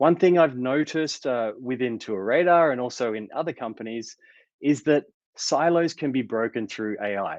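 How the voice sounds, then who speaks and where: Over a quiet background, a man with an Australian accent speaks in a medium pitch at a moderate pace with lively intonation. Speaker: tech company founder and CEO. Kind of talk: conference talk.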